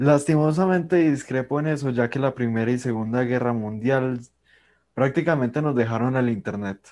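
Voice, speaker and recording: Against a quiet background, a man talks at a moderate pace in a medium pitch with ordinary pitch variation, in an unremarkable speaking voice. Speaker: podcast host. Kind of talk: casual interview.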